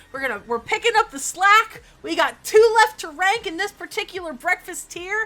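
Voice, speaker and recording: A woman speaks at a moderate pace with hardly any pauses, her voice raised, projected and extremely high. Her tone is bright and sharp, her intonation lively, and her loudness swings widely. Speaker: streamer. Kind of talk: casual chat. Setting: live stream. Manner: animated.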